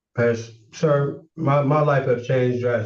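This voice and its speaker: There is audible room echo around a man whose voice comes across as somewhat breathy. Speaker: defendant. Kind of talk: court hearing testimony. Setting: courtroom. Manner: halting, repeats words.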